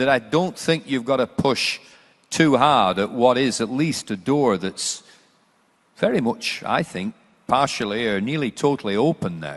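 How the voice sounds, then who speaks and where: A man with an unremarkable speaking voice, medium pitch and lively intonation, at a fairly slow pace over a quiet background. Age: 60s. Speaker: panelist on sport and education. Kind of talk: panel discussion.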